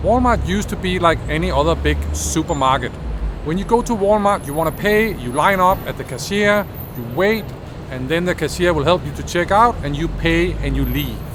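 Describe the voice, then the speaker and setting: The speech moves at a moderate pace. Audible room echo and noticeable background noise are present. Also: man. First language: not English. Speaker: business innovation video creator. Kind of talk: educational explainer.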